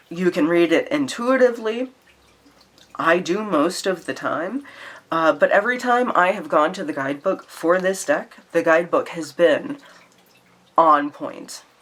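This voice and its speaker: Over noticeable background noise, a woman with an American accent talks at a fairly slow pace, her medium pitch making very wide swings. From Louisiana, US South. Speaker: tarot and oracle deck YouTuber. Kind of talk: casual vlog chat. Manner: chatty, many fillers and restarts.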